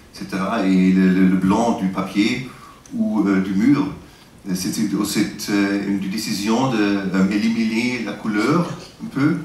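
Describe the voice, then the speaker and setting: Against noticeable background noise and audible room echo, a man speaks at a very slow pace. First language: not French (speaking French). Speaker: interviewer. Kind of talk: interview. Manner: halting, many hesitations.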